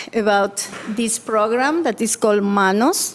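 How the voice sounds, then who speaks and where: The speaker has a Spanish accent and a fairly slow pace. Intonation stays fairly even. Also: woman. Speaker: school family outreach specialist. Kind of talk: presentation to school board. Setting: board meeting.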